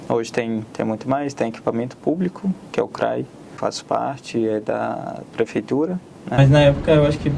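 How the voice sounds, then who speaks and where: A man with an Arabic accent at a medium pitch and moderate pace, against noticeable background noise. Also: ordinary pitch variation. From Syria, Aleppo. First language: Arabic (speaking Portuguese). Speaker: immigrant, student. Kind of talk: interview.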